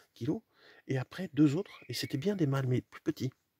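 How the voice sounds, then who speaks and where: A soft-spoken man with a dark, mellow, somewhat breathy tone, moderate pace and ordinary pitch variation, in a very clean recording with a silent background and a dry, close sound with no echo. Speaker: hunter. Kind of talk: casual vlog narration. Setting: outdoors in a hunting hide. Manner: halting, many repetitions.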